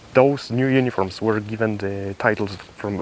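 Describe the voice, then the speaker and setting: Recorded dry and close with no echo but with noticeable background noise, a man with a non-native accent speaks at a fairly low pitch. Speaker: military gear reviewer. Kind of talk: tutorial. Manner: halting.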